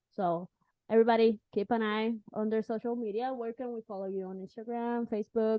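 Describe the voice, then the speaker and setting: A woman with a Spanish accent at a fairly quick pace, her intonation monotone and flat, her loudness swinging widely. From Puerto Rico. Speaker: podcast host. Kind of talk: interview.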